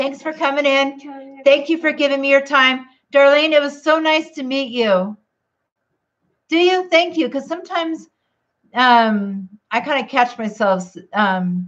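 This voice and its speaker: The voice is loud. Its intonation is lively. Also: woman, high pitch for a woman, fairly slow pace. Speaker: keto vlogger. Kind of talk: casual livestream chat.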